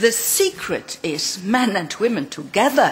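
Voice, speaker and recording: The woman's speech moves at a fairly slow pace. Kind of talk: conference speech. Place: hall. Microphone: podium.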